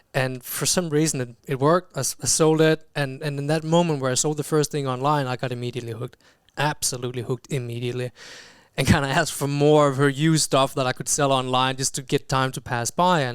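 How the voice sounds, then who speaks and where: In a very clean recording with a silent background, a man speaks very fast in a fairly high-pitched voice with fairly even intonation. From Denmark. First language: Danish. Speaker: chief marketing officer. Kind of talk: podcast interview. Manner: halting, many fillers and repeated words.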